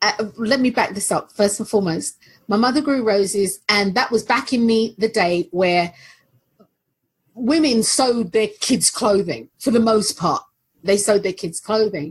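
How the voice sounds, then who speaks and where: Somewhat breathy and fairly high in pitch, a woman speaks at a moderate pace with ordinary pitch variation. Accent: London. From London, England. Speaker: aromatherapist. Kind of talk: casual chat.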